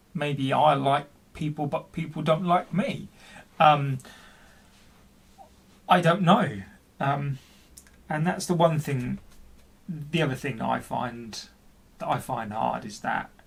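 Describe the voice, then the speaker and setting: A man speaks very slowly, with long, frequent pauses and vocal fry. His pitch is fairly high, with ordinary variation. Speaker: person who stammers. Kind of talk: personal video blog.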